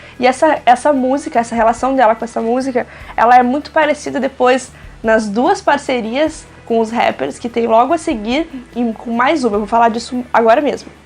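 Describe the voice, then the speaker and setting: A woman's high voice at a moderate pace, with ordinary pitch variation and noticeable background noise. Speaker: music reviewer YouTuber. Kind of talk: album review vlog.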